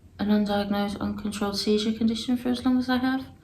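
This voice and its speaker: A woman is speaking. There is audible room echo. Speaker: vlogger sharing health experience. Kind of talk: personal video diary. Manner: halting, many fillers.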